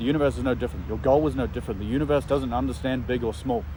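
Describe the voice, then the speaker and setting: Over noticeable background noise, a man talks loudly at a very fast pace and medium pitch. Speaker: vlogger. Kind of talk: motivational vlog monologue. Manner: animated.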